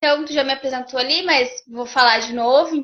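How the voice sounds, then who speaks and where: A woman's high-pitched voice with a southern Brazilian accent. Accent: gaúcho Brazilian Portuguese. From Rio Grande do Sul, Brazil. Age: 40s. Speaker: therapist and behavioral mentor. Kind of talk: interview testimony.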